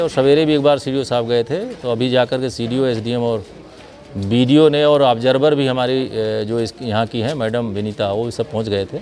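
Light background noise accompanies a man speaking at a moderate pace with ordinary pitch variation. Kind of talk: interview answer. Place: street.

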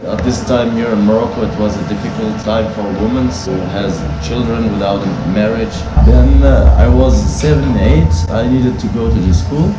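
Loud background noise surrounds a man talking at a moderate speed. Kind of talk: interview answer. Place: cafe.

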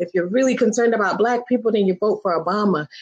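A woman's pitch varies in an ordinary way over a quiet background. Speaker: show guest or host. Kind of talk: animated conversational commentary. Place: home room. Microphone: video call.

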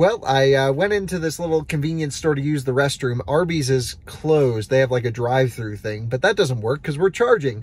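A man speaks at a fairly quick pace in a dry sound with no echo. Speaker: road trip vlogger. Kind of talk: casual vlog chat. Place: car. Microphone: phone near.

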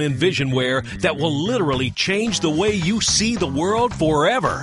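A man with a fairly high pitch speaks in an upbeat tone at a moderate pace, with very wide pitch swings. Music plays in the background. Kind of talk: TV commercial read.

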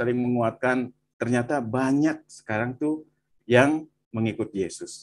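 Speaking at a fairly slow pace and a medium pitch, a man has an ordinary speaking voice and fairly even intonation. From West Java, Bandung. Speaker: viewer sharing testimony. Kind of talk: testimony. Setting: video call.

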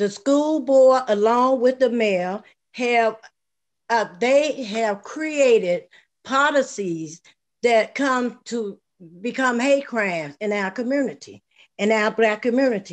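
Her intonation lively, a woman speaks at a slow pace. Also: fairly high pitch for a woman.

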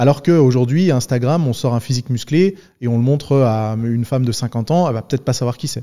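A man speaks at a fairly quick pace with a medium pitch, a dark, mellow tone and ordinary pitch variation against a quiet background. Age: 30s. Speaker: podcast host and fitness YouTuber; podcast host, fitness YouTuber. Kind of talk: casual interview conversation. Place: studio. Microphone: studio mic.

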